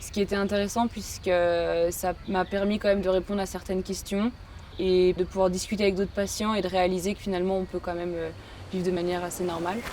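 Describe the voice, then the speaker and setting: Her voice sits at a medium pitch with a dark, mellow tone as the woman speaks very fast in a flat monotone. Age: 20s. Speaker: patient. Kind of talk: testimony. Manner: hesitant, many fillers.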